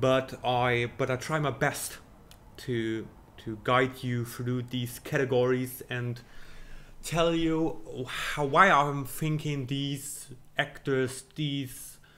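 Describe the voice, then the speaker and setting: With a German accent, a man speaks at a very slow pace. His pitch is medium, with ordinary pitch variation. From Germany. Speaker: film commentator / video creator. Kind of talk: casual monologue, predictions. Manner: halting, many fillers.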